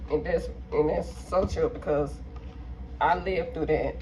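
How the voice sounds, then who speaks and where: There is noticeable background noise around this woman's voice. Room echo is audible as well. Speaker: mukbang vlogger. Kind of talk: casual vlog chat while eating. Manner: mouth full, eating sounds.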